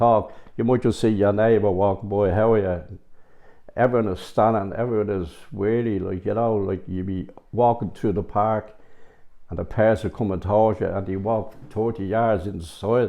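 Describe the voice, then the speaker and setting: In a Dublin accent, the speaker keeps a moderate pace and fairly even intonation. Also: man, fairly low pitch for a man. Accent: Dublin Irish. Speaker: local resident. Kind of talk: interview.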